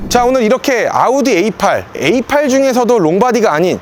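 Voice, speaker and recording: A man at a fairly quick pace. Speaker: car leasing salesperson and video host. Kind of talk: car review walkthrough. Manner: fast.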